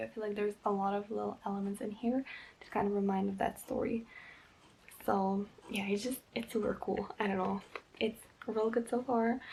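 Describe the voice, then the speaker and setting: Soft-spoken and at a moderate pace, a woman talks with monotone, flat intonation. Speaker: book vlogger. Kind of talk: casual talk to camera.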